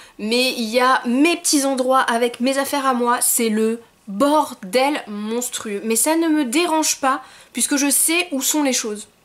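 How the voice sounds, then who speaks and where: A woman with a high pitch speaks at a very slow pace with ordinary pitch variation. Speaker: YouTuber. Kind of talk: casual vlog monologue.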